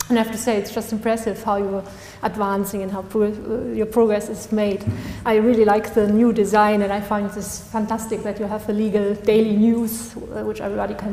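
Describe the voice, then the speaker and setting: Fairly quick, monotone and flat speech with audible room echo and noticeable background noise. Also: woman. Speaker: law graduate and article author. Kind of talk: conference talk. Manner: halting.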